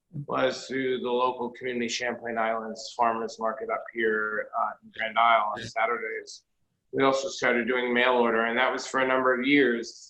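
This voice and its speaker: In a New York accent, a man speaks at a medium pitch and a moderate pace. His intonation stays monotone and flat while his loudness swings widely. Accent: New York area. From New Jersey, Jersey City. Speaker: chocolatier and shop owner. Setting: video call.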